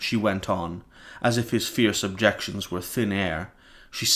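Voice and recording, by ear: The passage is read aloud in a natural voice.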